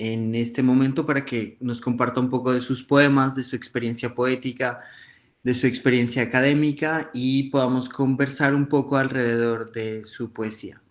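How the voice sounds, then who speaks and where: At a fairly slow pace, a man speaks at medium pitch in a monotone, flat intonation. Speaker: podcast host. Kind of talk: show introduction.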